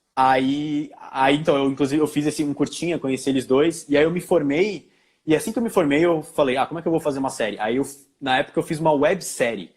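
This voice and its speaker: The pace is very fast. Pitch variation stays ordinary. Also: man, fairly high pitch for a man. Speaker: filmmaker and actor. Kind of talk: interview.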